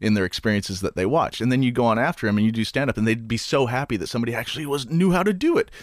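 Speaking very fast with a Canadian accent, a man has lively intonation, and the sound is dry and close with no echo. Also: medium pitch for a man, hardly any pauses. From Canada. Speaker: stand-up comedian. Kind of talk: casual interview.

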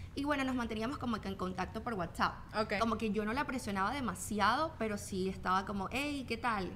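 A woman with a Venezuelan accent talks at a fairly quick pace in a fairly high voice with ordinary pitch variation, amid noticeable background noise and audible room echo. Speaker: fitness trainer and influencer. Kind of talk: casual interview chat.

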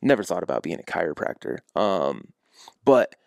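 A man with an American accent has an unremarkable speaking voice, fairly low in pitch. He speaks at a moderate pace, and the sound is dry and close with no echo. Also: very clean recording, silent background. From US Midwest, small-town Iowa. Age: 20s. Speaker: chiropractor. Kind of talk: casual interview chat.

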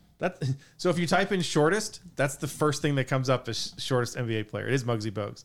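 Lively intonation marks a man's very fast delivery. His voice holds a medium pitch. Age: 50s. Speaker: podcast co-host. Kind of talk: casual chat.

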